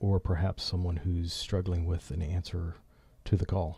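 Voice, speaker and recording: A man with a very deep, low pitch and a dark, mellow tone talks at a moderate pace, somewhat breathy. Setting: studio.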